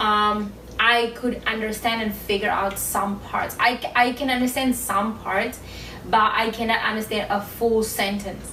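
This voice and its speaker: With noticeable background noise and audible room echo, a woman speaks fairly slowly in a fairly high, monotone, flat voice. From South Africa. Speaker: YouTuber, couple channel co-host. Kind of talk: casual chat.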